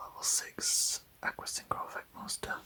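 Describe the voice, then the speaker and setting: A man is whispering. Noticeable background noise runs beneath him. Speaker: ASMR card collector. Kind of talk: ASMR card binder review. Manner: whispered.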